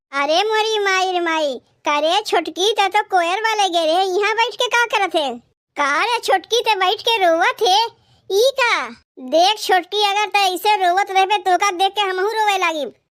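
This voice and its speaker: A squeaky, put-on character voice moves at a moderate pace. Its loudness stays very even, and its pitch varies in an ordinary way. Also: woman, extremely high pitch for a woman. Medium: cartoon. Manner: emotional, motherly.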